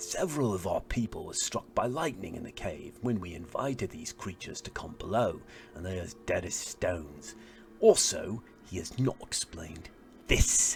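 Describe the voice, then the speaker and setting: A man speaks in a put-on character voice. Background noise is clearly audible. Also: moderate pace. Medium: read story.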